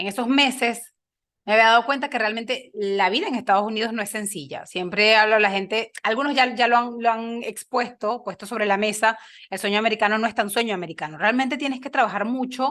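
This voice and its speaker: In a very clean recording with a silent background, a woman speaks fairly quickly in a bright, sharp tone, her fairly high pitch showing ordinary variation. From Venezuela, Lara state (Río Claro). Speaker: engineer and podcaster. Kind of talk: interview conversation.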